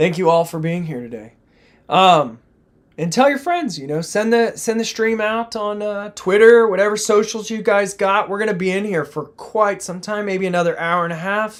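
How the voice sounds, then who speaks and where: A moderate pace and an American accent on a very clean recording with a silent background. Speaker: crypto trading streamer. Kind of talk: live stream chart analysis. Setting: live stream. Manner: casual, animated.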